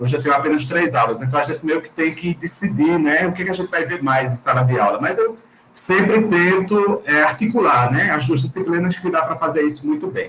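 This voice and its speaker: A man talks at a fairly quick pace in a Pernambuco accent with ordinary pitch variation. Noticeable background noise runs underneath. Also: fairly high pitch for a man, hardly any pauses. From Recife, Pernambuco, Brazil. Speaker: Portuguese teacher. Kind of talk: panel discussion.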